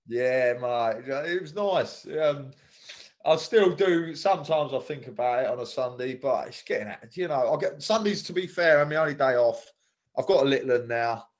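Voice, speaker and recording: A man with a southeast English accent speaks at a moderate pace in a fairly high pitch, his lively intonation matched by big swings in loudness. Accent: south-east English. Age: 30s. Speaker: former footballer. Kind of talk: casual chat.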